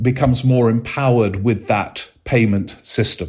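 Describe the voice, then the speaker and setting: At a moderate pace, the somewhat breathy voice shows ordinary pitch variation. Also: man. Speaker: political podcast host. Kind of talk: casual monologue. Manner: calm.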